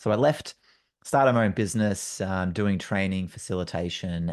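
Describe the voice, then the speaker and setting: With an Australian accent, a man speaks in a very deep, low voice with ordinary pitch variation against a quiet background. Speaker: facilitator and trainer. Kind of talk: solo podcast monologue. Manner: casual, many fillers. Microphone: good mic.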